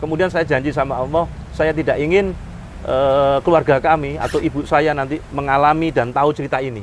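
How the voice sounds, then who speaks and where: A man speaks at a fairly quick pace with fairly high pitch. Noticeable background noise sits behind him. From Indonesia, Surabaya (East Java). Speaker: motivational speaker and Islamic teacher. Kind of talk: interview, life story.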